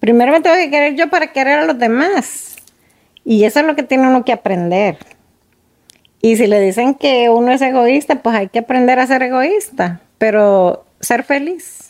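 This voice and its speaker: A woman speaks at a moderate pace in a high pitch. Her intonation is lively and her loudness very even. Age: 50s. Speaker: guest on a conversation podcast. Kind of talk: casual chat.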